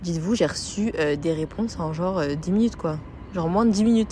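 A woman with a fairly low voice talks at a moderate pace with ordinary pitch variation. Noticeable background noise sits behind her. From Paris, France. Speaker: podcaster. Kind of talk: casual solo podcast monologue. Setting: recording at a friend's home in Lille. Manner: hesitant, many fillers.

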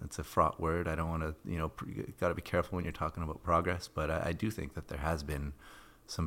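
A man with a western Canadian accent, very deep and low, with vocal fry and fairly even intonation, on a very clean recording with a silent background. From Canada, Edmonton, Alberta. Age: 40s. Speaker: environmental journalist and author. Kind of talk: casual interview.

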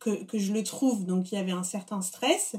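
Somewhat breathy, a woman speaks at medium pitch with fairly even intonation. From Paris, France. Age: 30s. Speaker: food blogger. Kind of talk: interview conversation. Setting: in the host's home.

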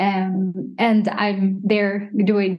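A woman is speaking. There is a somewhat breathy quality to her voice. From Sweden, Stockholm. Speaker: digital artist. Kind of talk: casual chat. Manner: hesitant with many fillers.

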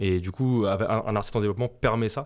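Fairly low male voice, a normal speaking voice with fairly even intonation and a fairly quick pace. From France, Essonne (Brunoy). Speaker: music producer. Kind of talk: interview.

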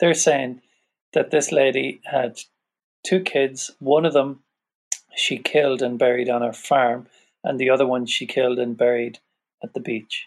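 Long, frequent pauses run through this man's speech. He talks at a fairly slow pace with fairly even intonation. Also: medium pitch for a man. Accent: Irish. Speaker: podcast guest. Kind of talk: casual chat.

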